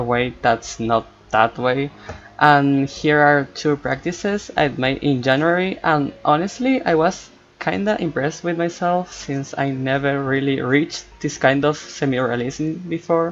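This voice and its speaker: Fairly high in pitch, this man speaks with a Spanish accent. He goes at a fairly slow pace. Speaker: art student and cartoonist vlogger. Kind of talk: voiceover commentary over art process. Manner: hesitant, non-native pace.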